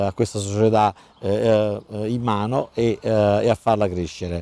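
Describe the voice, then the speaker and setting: A man speaks very slowly at a fairly low pitch. His tone is dark and mellow, and the sound is dry with no echo. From Cassino, southern Lazio, Italy; Lazio, Italy. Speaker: football club president. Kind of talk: interview. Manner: halting, many repetitions and fillers. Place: stadium.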